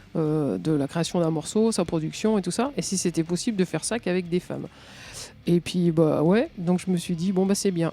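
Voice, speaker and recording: Music plays in the background as a woman speaks at a moderate pace with ordinary pitch variation. Her fairly low voice sounds dry and close, with no echo. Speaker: metal musician. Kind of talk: podcast interview answer.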